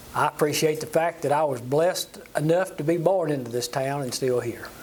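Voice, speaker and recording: A man speaks in a South Carolina accent with ordinary pitch variation. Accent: Southern US, South Carolina. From US South, upstate South Carolina (Walhalla). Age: 70s. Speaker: church lay leader. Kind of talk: interview. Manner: halting, many fillers.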